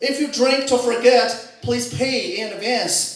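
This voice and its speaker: Speaking with a Chinese accent, a man uses an extremely high pitch at a moderate pace. Audible room echo surrounds his voice. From China. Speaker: stand-up comedian. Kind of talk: stand-up. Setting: stage with audience.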